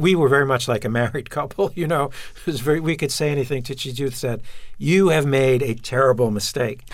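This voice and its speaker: A man speaks with a Brooklyn accent at a fairly high pitch. His pace is moderate and his pitch variation ordinary. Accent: New York (Brooklyn). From Brooklyn, New York. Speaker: television writer and producer. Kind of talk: interview.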